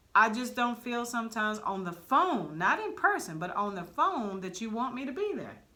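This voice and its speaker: A woman with a fairly high pitch talks at a moderate pace, her pitch swinging very widely. Noticeable background noise runs underneath. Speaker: barber stylist podcast co-host. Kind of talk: casual chat.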